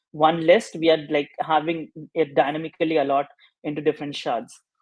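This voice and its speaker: At a fairly quick pace, a man speaks in a fairly high, monotone voice with flat intonation. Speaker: developer relations engineer giving a workshop. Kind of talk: technical workshop presentation. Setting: online video session. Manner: hesitant, many fillers.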